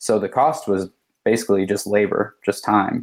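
With a plain, everyday voice, a man talks at a fairly quick pace and medium pitch in a very clean recording with a silent background. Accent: American. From Michigan, US Midwest. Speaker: freelance designer and screen printer. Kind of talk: casual interview.

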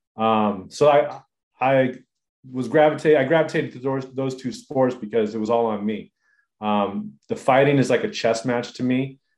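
A man speaks in a normal speaking voice with an American accent, at a medium pitch. His pace is moderate and his pitch variation ordinary. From Southern California (inland). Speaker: surfer, fighter and self-defense trainer, entrepreneur. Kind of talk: casual interview.

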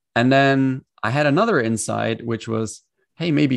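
At a moderate pace, a man speaks at a medium pitch with ordinary pitch variation against a quiet background. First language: German. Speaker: executive coach. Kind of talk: interview conversation. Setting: video call.

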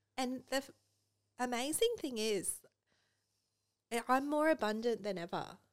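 Speaking at a moderate pace with an Australian accent, a woman uses a high pitch and leaves long, frequent pauses. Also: ordinary pitch variation. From rural Australia. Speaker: estate planning lawyer and business owner. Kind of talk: casual interview. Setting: podcast studio.

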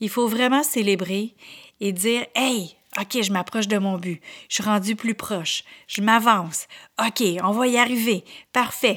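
In a Quebec accent, a woman with a fairly high pitch and fairly even intonation speaks at a fairly slow pace with long, frequent pauses on a very clean recording with a silent background. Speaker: podcast host and motivational speaker. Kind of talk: motivational monologue.

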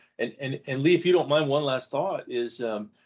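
An ordinary speaking voice from a man, fairly high in pitch, at a fairly quick pace. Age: 60s. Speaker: author and former CEO. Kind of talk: casual interview conversation.

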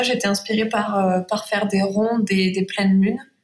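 A woman speaks in a somewhat breathy voice. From Provence. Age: 20s. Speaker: watercolour illustrator. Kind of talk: interview.

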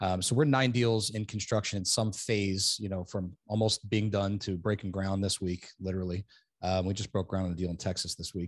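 With an American accent and a normal speaking voice, a man talks at a fairly quick pace with a fairly low pitch, fairly even intonation and hardly any pauses against a quiet background. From New Jersey. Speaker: self-storage developer. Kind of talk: interview.

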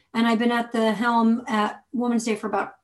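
A woman is speaking. Her delivery carries a somewhat breathy quality. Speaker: author and magazine editor. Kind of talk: casual interview.

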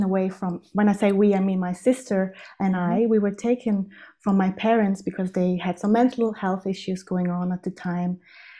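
Fairly even intonation and a dark, mellow tone. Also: woman. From South Tyrol, Italian Alps. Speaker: holistic interior designer. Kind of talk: casual interview. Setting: remote call.

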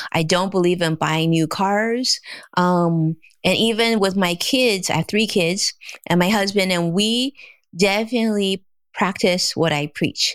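A woman with an American accent at medium pitch, fairly slow, with ordinary pitch variation on a very clean recording with a silent background. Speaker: financial advisor. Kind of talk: interview. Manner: gentle.

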